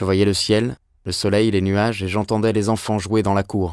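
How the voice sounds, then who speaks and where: A man with a fairly low voice talks at a moderate pace on a very clean recording with a silent background. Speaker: voice actor. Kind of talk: audiobook reading.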